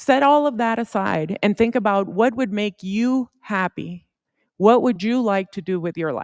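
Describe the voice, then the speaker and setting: A woman's medium-pitched voice with a Spanish accent, warm tone, ordinary pitch variation and fairly slow pace, on a very clean, dry, close recording with a silent background and no echo. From Puerto Rico, then Yuma, Arizona from age 14. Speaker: supreme court justice. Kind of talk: advice talk to students. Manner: conversational, warm.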